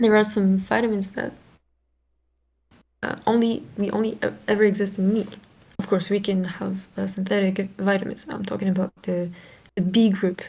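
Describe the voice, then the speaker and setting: With a non-native accent, the speaker talks at a moderate pace in a dark, mellow, somewhat breathy tone, with fairly even intonation and long, frequent pauses. The recording is very clean, with a silent background. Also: woman, medium pitch for a woman. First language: not English. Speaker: guest in chat. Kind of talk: casual debate chat. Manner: halting, searching for words.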